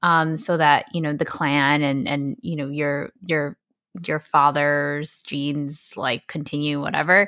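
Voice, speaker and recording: A woman with an American accent speaks at a fairly slow pace, her very deep, low pitch carrying a bright, sharp tone. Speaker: podcast co-host. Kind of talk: casual chat.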